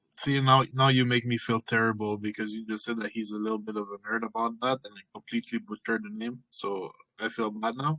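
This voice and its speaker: A man with a French accent speaks at a medium pitch in a bright, sharp tone. His intonation is monotone and flat, at a fairly quick pace with hardly any pauses. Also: dry, close sound with no echo. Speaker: AMA host. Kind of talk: casual interview chat.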